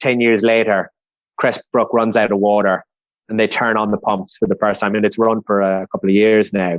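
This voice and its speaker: The voice has an Irish accent and a fairly quick pace. The sound is dry and close, without echo. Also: man. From west of Ireland. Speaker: civil engineer, project manager. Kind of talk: podcast interview. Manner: conversational with frequent fillers.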